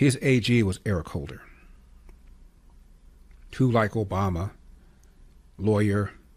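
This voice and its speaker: In a very clean recording with a silent background, a man speaks in a fairly low, somewhat breathy voice. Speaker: conservative talk radio host. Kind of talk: radio talk show monologue. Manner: opinionated, commentary.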